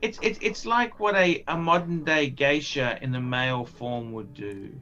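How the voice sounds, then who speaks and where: Here a man speaks with an Australian accent at a fairly high pitch. His pitch swings are very wide. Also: fairly slow pace. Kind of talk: casual chat. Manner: halting, repetitive.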